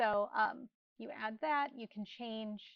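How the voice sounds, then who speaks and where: Pitched fairly high, a woman with an unremarkable speaking voice talks with ordinary pitch variation. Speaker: real estate marketing instructor. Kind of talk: tutorial.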